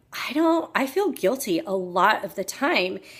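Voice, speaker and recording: A woman speaks loudly. Her pitch swings very widely. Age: 40s. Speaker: health coach. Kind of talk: personal vlog talk. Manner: loud and boisterous.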